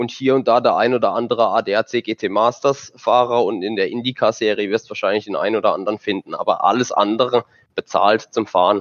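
Against a quiet background, a man speaks at a medium pitch with monotone, flat intonation, the sound dry and close with no echo. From southern Germany. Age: 20s. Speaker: sim racing driver. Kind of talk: casual chat.

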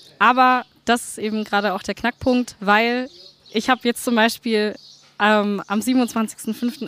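A woman speaks in a fairly high voice with monotone, flat intonation. The sound is dry and close, with no echo. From Franconia, Nuremberg. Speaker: musician. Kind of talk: interview.

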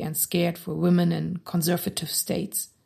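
Speaking at a moderate pace, a woman talks in a German accent. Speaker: podcast host. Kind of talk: interview. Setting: studio.

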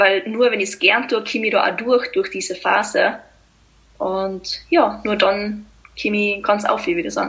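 With noticeable background noise behind her, a woman speaks at a fairly high pitch in a Tyrolean accent. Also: ordinary pitch variation, fairly slow pace. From Austria, East Tyrol. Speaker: blogger and mental coach. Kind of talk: interview.

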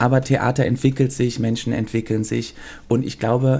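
Somewhat breathy, this man's voice has a dark, mellow tone and a medium pitch. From Germany, Cologne (early childhood in Belgium). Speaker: choreographer and former musical performer. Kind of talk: casual interview. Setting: theater venue.

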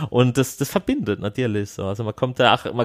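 The very clean recording, silent in the background and dry and close with no echo, captures a man at medium pitch talking at a very fast pace with ordinary pitch variation. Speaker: film participant. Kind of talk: interview.

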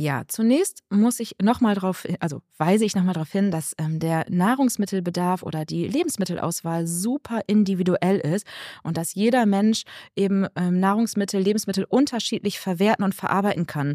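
A woman's medium-pitched, dark, mellow voice, dry and close with no echo, in a very clean recording with a silent background. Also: ordinary pitch variation, moderate pace. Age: 40s. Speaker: naturopath and nutrition consultant. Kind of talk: interview.

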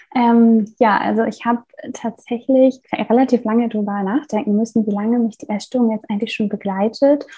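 This voice is somewhat breathy and dark and mellow in tone, with monotone, flat intonation. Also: woman. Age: 20s. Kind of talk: interview.

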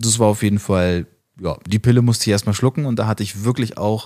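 On a very clean recording with a silent background, a man talks. His pace is fairly quick and his intonation fairly even. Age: 20s. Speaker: business consultant. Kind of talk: interview.

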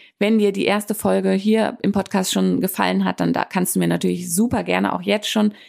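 In a very clean recording with a silent background, the speech proceeds at a moderate pace. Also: woman. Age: 30s. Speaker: life coach and podcast host. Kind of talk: solo podcast monologue. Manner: hesitant fillers (ähm).

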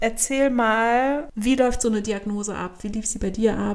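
On a very clean recording with a silent background, a woman with a plain, everyday voice speaks at a fairly slow pace and fairly high pitch, with ordinary pitch variation. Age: 30s. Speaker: magazine editor and podcast host. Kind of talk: casual chat.

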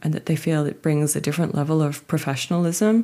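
Very fast speech comes from a woman with a very deep, low voice. Vocal fry runs through her words. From Australia. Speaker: route setter. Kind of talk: interview.

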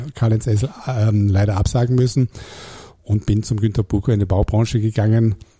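A man with a medium pitch and a dark, mellow tone speaks somewhat breathily at a fairly quick pace, with fairly even intonation and a dry, close sound with no echo. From Germany, Hamburg. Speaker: real estate executive. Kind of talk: interview. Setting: studio.

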